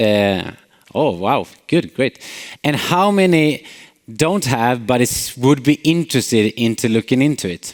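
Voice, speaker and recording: In a Swedish accent, a man with a medium pitch speaks at a fairly slow pace with lively intonation. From Sweden, Småland. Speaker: company CEO, conference speaker. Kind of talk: conference talk. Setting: stage with audience. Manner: frequent filler hesitations.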